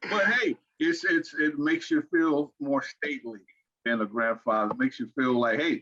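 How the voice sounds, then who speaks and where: The sound is dry and close, without any echo. A man talks at a moderate tempo. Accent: American. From Arkansas and Fort Wayne, Indiana. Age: 60s. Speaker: financial strategist. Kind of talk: podcast interview. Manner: repetitive, halting starts.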